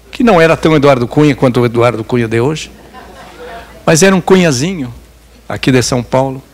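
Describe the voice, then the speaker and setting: Noticeable background noise sits behind a man talking at a fairly quick pace. His pitch is medium with ordinary variation, broken by long, frequent pauses. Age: 80s+. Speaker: journalist. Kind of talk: lecture.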